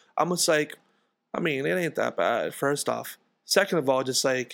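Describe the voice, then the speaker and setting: A fairly high-pitched male voice with fairly even intonation on a very clean recording against a silent background. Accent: New York. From US, Queens, New York. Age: 20s. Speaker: musician. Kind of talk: casual chat. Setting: home.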